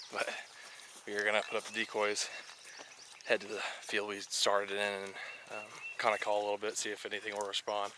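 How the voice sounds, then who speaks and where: A man with a fairly low pitch speaks in monotone, flat intonation at a fairly quick pace, broken by long, frequent pauses. Noticeable background noise runs behind him. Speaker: hunting video host. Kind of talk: casual field narration to camera. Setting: outdoors.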